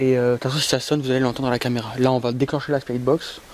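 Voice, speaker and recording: Over noticeable background noise, a man of medium pitch speaks in a monotone, flat way. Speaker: paranormal investigator YouTuber. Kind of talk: on-location ghost hunt commentary. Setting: outdoors in a cemetery at night.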